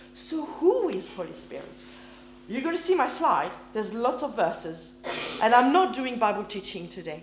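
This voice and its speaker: Over noticeable background noise, a woman with a high voice talks at a moderate pace with very wide pitch swings, big swings in loudness, and long, frequent pauses. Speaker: preacher. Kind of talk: sermon. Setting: church.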